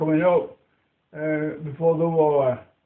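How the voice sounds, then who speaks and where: A man speaks with a Lancashire accent. His pitch is fairly high and his intonation fairly even. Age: 80s+. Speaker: war veteran. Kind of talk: interview answer.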